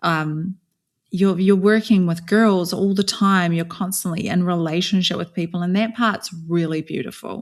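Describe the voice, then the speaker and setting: Delivered at a moderate pace with fairly even intonation, the speech comes in a New Zealand accent on a very clean recording with a silent background. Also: woman, medium pitch for a woman. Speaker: author and speaker, former cult member. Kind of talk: podcast interview, personal story.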